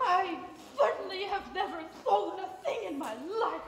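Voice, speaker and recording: A female-sounding, put-on character voice with an extremely high pitch moves at a moderate pace. Clear echo and clear background noise are present. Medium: stage play. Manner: affected, theatrical.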